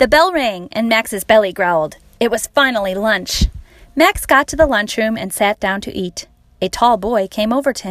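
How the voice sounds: This is a natural reading voice. It reads as a natural reading voice throughout.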